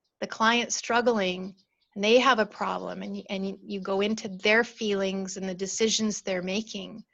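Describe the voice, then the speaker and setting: A woman speaks in a calm tone at a medium pitch. Her pace is fairly slow, and the background is quiet. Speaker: storytelling coach. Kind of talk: webinar talk. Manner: calm and slow.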